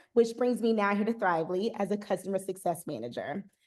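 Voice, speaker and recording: Speaking at a very fast pace, a woman has a slight Southern US accent. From US South, Eastern North Carolina. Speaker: customer success manager, former principal. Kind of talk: webinar presentation. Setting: online webinar.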